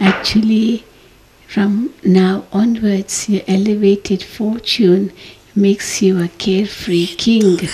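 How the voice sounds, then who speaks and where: Light background noise sits behind this voice. The pace is very slow. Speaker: spiritual teacher. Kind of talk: sermon. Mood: calm, gently smiling. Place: hall. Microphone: podium.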